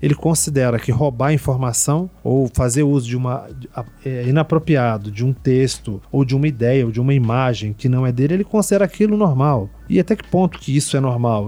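The man has a dark, mellow tone and lively intonation. He speaks at a fairly quick pace. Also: medium pitch for a man. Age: 40s. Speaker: Portuguese language teacher. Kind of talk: casual chat. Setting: studio.

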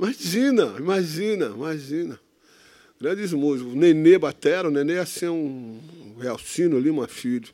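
In an ordinary speaking voice, a man talks at a moderate pace with lively intonation and a fairly high pitch. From Santos, São Paulo state, Brazil. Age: 60s. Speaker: instrumental musician. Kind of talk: casual interview chat. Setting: stage with live audience.

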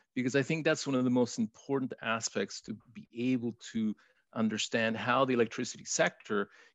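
Speaking in a Spanish accent, a man uses a medium pitch with ordinary variation at a moderate pace. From Chile. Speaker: regulatory economist. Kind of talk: interview. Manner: halting, many fillers.

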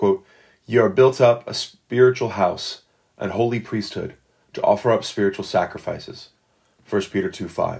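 A man at medium pitch speaks at a moderate pace, somewhat breathy, with lively intonation. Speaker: podcast host reading Puritan devotional book. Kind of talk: reading aloud.

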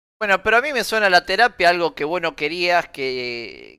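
The recording is very clean, with a silent background. A man talks with lively intonation in a bright, sharp tone. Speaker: podcast co-host. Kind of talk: casual chat. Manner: loud.

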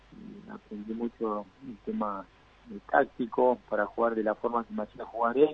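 Speaking at a moderate pace and medium pitch, a man with an ordinary speaking voice keeps his intonation fairly even while his loudness swings widely. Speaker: former professional footballer. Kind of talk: interview.

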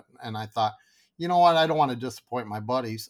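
On a very clean recording with a silent background, a man with a Michigan accent speaks at medium pitch with ordinary pitch variation. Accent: Michigan (Upper Midwest) American. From Michigan, Grand Rapids area. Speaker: fly tying tool business owner. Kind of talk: casual interview chat.

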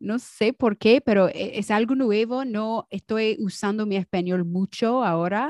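Speaking at a fairly slow pace, a woman with a fairly high pitch uses ordinary pitch variation, and the sound is dry and close with no echo. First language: English (speaking Spanish). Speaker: podcast co-host. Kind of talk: casual chat. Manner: halting, searching for Spanish words.

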